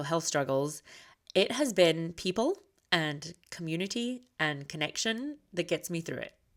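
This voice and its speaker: A woman's fairly low voice with lively intonation at a moderate pace, on a very clean recording with a silent background. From Scotland. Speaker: podcast host, military wife. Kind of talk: podcast monologue.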